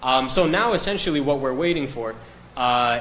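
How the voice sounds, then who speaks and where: Over noticeable background noise and audible room echo, a man with an American accent talks with fairly even intonation. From US, Miami. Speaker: business development executive. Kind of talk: interview. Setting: live stream.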